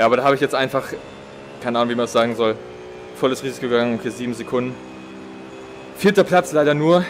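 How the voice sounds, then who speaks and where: Noticeable background noise behind a male voice. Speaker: sim racing streamer. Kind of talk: live gameplay commentary. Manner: sparse, few words while concentrating.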